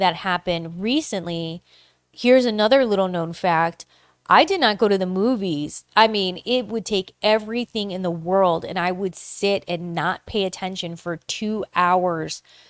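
Recorded with a dry, close sound and no echo, a woman has a plain, everyday voice at a medium pitch. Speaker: podcast host. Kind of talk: casual solo monologue.

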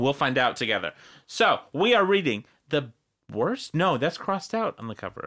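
His pitch fairly high and swinging very widely, a man with an American accent speaks in a bright, sharp tone. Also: moderate pace, very clean recording, silent background. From US Midwest, Wisconsin. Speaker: podcast co-host. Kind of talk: casual chat. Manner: animated.

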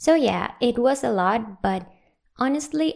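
Speaking at a fairly slow pace, a woman talks with a Spanish accent. Her pitch shows ordinary variation. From Venezuela. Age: 20s. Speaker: solo podcaster. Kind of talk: personal monologue.

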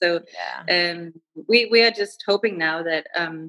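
Fairly low in pitch, a woman talks with a Danish accent and fairly even intonation. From Denmark. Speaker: freelance writer. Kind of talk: interview, casual conversation. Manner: halting, many fillers.

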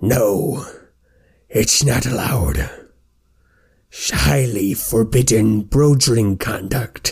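A man's booming, put-on character voice at medium pitch, very slow, with long, frequent pauses. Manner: stern, scolding.

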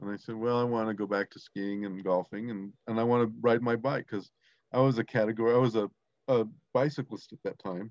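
Against a quiet background, a man speaks at a fairly quick pace and medium pitch with fairly even intonation and big swings in loudness, the sound dry and close with no echo. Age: 60s. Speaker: ski coach and former para alpine racer. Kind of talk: interview. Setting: phone call. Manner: halting.

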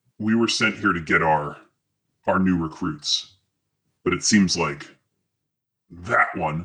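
A man puts on a character voice pitched very deep and low. He goes at a fairly slow pace with long, frequent pauses. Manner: snarling, thrashing.

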